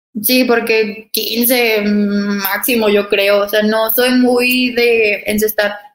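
Over music in the background, the voice moves at a very slow pace with hardly any pauses, a monotone, flat intonation and very even loudness. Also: woman, fairly high pitch for a woman. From Mexico, Torreón (Comarca Lagunera). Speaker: professional basketball player. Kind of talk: interview.

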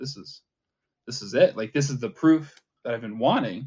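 A man with an ordinary speaking voice talks at a medium pitch. His pace is moderate, and his pitch varies in an ordinary way. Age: 20s. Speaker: atheist content creator. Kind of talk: casual chat.

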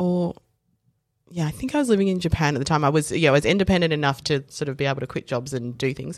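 Very fast speech in an Australian accent, with ordinary pitch variation. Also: woman, very deep, low pitch for a woman. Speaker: lawyer. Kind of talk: casual chat. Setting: studio. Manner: animated.

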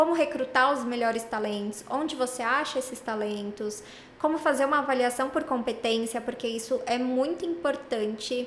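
There is noticeable background noise and audible room echo. A woman talks with a high pitch and ordinary pitch variation. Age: 20s. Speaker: tech recruiter, psychologist. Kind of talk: casual interview.

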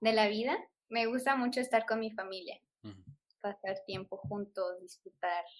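A woman with a fairly high pitch talks at a moderate pace, using ordinary pitch variation and big swings in loudness. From Mexico, Guanajuato. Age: 20s. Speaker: primary school teacher. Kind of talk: casual interview.

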